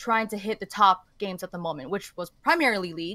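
In a Canadian accent, a woman talks at a fairly quick pace with a bright, sharp tone, the sound dry with no echo over a quiet background. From Canada. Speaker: esports journalist. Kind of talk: casual chat. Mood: relaxed, animated. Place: home room.

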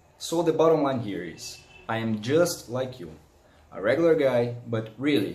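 With audible room echo, a somewhat breathy man with a Portuguese accent speaks at a medium pitch with lively intonation. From Brazil. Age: 30s. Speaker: hobbyist audiophile YouTuber. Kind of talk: product review vlog. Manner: animated. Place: home room. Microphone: phone near.

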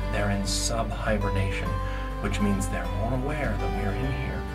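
A man talks at a moderate pace while loud music plays in the background. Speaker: falconer and nature educator. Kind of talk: educational vlog explanation. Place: tunnel cave. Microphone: phone near.

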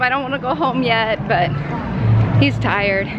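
A woman talks at a moderate pace in a dry sound with no echo. Music plays in the background. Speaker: vlogger. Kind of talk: casual vlog chat. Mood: happy, giggly. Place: street. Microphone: phone near.

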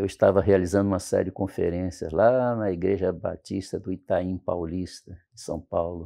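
A man with a very deep, low pitch speaks at a moderate pace with hardly any pauses. His intonation stays fairly even while his loudness swings widely. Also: quiet background. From Espírito Santo, Brazil (rural interior). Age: 70s. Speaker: pastor. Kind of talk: interview. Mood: warm, reminiscing about family. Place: studio. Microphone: lapel.

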